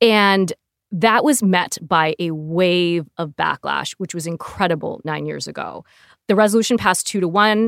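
In a dry, close sound with no echo and a very clean recording with a silent background, a woman with an American accent uses a normal speaking voice, a fairly low pitch with ordinary variation, and a moderate pace. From US, Southern California. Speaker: lawyer. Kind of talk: interview.

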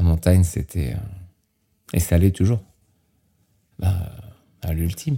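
A man talks at a fairly slow pace with long, frequent pauses. His very deep, low pitch has ordinary variation and a dark, mellow, somewhat breathy tone. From France (Normandy, grew up partly Mont Blanc area). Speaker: extreme skier and base jumper. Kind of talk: interview.

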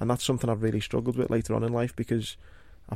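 A man with a medium-pitched voice speaks in a monotone, flat delivery with a dark, mellow tone. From Liverpool, England. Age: 30s. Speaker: war veteran. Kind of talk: interview.

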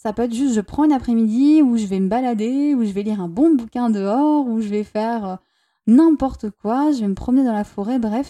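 Her dark, mellow tone and warm tone come through a very clean recording with a silent background and a dry, close sound with no echo, as the woman speaks at a moderate pace with a fairly high pitch and ordinary pitch variation. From southern France, Toulouse. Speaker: relationship coach and podcaster. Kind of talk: solo podcast monologue. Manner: warm, intimate.

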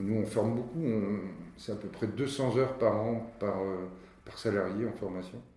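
With audible room echo, a man talks at a fairly slow pace and fairly low pitch, his tone dark and mellow, somewhat breathy, with fairly even intonation. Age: 60s. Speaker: company director. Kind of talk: interview. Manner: halting.

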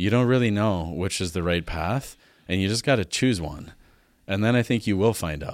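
With a western Canadian accent, a man speaks at a moderate pace and fairly low pitch with ordinary pitch variation, in a very clean recording with a silent background. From Alberta, Canada (farm). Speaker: Chinese medicine practitioner. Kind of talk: casual interview.

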